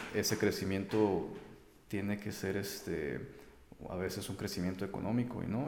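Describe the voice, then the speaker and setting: A man's fairly low voice at a moderate pace, with audible room echo. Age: 30s. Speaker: traveler, photographer and English teacher. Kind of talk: interview.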